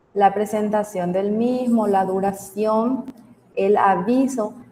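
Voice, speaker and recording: Fairly even, medium-pitched female speech amid noticeable background noise. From Paraguay, Capiatá. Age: 30s. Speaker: teacher. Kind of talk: online class lecture.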